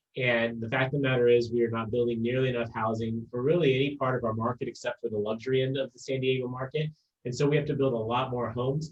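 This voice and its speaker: A somewhat breathy voice at a very fast pace, with fairly even intonation. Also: man. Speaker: mayor. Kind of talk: panel discussion.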